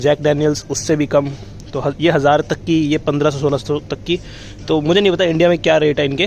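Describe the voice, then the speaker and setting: Noticeable background noise behind a man with a fairly high pitch, fairly even intonation and a moderate pace. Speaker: travel vlogger. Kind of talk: walking vlog narration. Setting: supermarket. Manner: casual, conversational.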